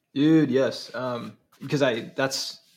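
This is a man speaking. He has an American accent. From Minnesota, Twin Cities. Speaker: entrepreneur, agency co-founder. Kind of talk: interview. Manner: animated.

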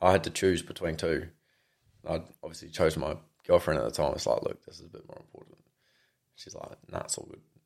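A man with an Australian accent speaks at a very fast pace. His speech is broken by long, frequent pauses. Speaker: mechanic. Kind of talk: casual chat.

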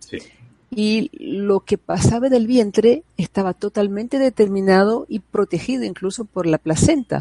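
A woman's voice at medium pitch. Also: dry, close sound with no echo. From Brazil. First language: Portuguese (speaking Spanish). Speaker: psychologist and prenatal education advocate. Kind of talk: interview conversation. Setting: video call.

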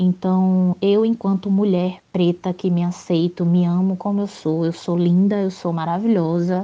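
A woman's dark, mellow voice at a medium pitch, flat and monotone in intonation, at a fairly slow pace. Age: 20s. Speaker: activist. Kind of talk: recorded testimony.

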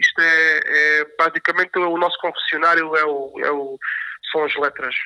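Dry, close sound with no echo and a moderate pace. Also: man. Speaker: professional bass player. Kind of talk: casual interview.

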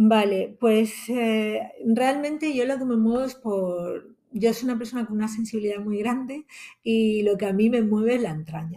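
A woman's fairly high, dark, mellow voice, somewhat breathy, with ordinary pitch variation. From Spain, Alicante. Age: 40s. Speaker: blogger. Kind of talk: interview.

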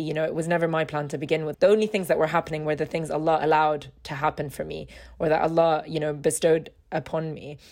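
Over music in the background, a woman talks at a fairly quick pace in a very deep, low pitch. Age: 20s. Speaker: podcast host. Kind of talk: casual chat.

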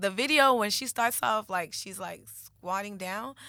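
A woman's animated, bright and sharp voice at a moderate pace with ordinary pitch variation, on a very clean recording with a silent background. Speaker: co-host. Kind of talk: casual chat.

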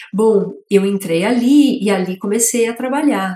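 A woman talks in a somewhat breathy voice. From São Paulo city, east zone. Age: 40s. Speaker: master brewer and beer educator. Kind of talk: interview.

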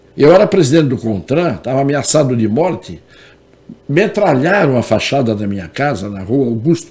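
A man's dark, mellow voice with vocal fry, very wide pitch swings and a moderate pace. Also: big swings in loudness. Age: 70s. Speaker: lawyer and former congressman. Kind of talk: interview. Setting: studio.

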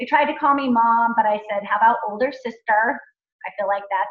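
A woman with an American accent, an unremarkable speaking voice, fairly high pitch, ordinary pitch variation and a fairly quick pace. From Montana. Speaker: entrepreneur and former educator. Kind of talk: interview / talk to a youth group.

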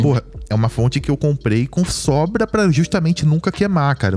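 The voice is dark and mellow in tone, somewhat breathy, with lively intonation. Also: man. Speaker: podcast co-host. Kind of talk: casual chat. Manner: talkative.

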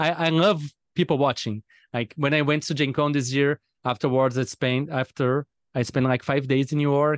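A man speaks at a fairly high pitch and a moderate pace with fairly even intonation and very even loudness. The sound is dry and close with no echo, over a quiet background. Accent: Portuguese. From Brazil. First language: Portuguese. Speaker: podcast host, game designer. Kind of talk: casual interview chat. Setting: remote call.

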